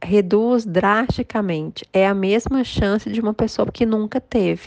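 This woman has an unremarkable speaking voice, medium pitch and ordinary pitch variation. She talks at a fairly slow pace against a quiet background. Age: 40s. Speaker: lawyer and author, cancer survivor. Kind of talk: interview testimony.

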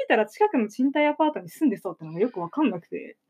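A woman speaks at a very fast pace in a high voice. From Ibaraki, Japan. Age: young (19). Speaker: theater actor. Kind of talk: casual radio chat.

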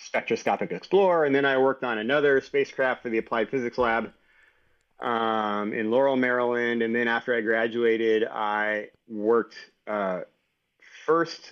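A man speaks in a plain, everyday voice with an American accent. His pitch is medium and his pace moderate. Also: ordinary pitch variation. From Texas, San Antonio. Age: 40s. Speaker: engineer and entrepreneur. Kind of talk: interview conversation.

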